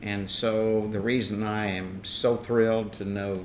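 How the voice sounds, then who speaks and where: With audible room echo, a man speaks at a fairly low pitch and with fairly even intonation. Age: 70s. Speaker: political activist. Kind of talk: interview.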